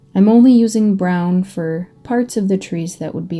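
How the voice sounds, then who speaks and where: Soft-spoken, a woman with an American accent talks at a medium pitch and a moderate pace. Her pitch varies in an ordinary way, with music in the background. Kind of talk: ASMR paint-along tutorial. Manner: soft-spoken, calming.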